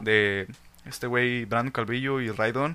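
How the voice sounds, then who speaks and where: On a very clean recording with a silent background, a man with a Mexican accent speaks at a fairly slow pace in a medium-pitched, bright, sharp tone with fairly even intonation. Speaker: podcast host. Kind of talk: casual chat.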